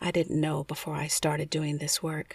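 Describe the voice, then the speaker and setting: A woman with an American accent speaks in a very deep, low, somewhat breathy voice. The sound is dry and close with no echo, in a very clean recording with a silent background. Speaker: ASMR bedtime storyteller. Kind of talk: bedtime story narration, travelogue read in a calm, soothing, hushed tone.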